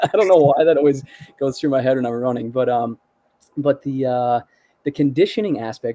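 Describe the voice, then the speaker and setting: A man at a medium pitch with ordinary pitch variation and a fairly quick pace, long, frequent pauses, and a dry, close sound with no echo. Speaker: musician. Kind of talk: casual chat. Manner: fast.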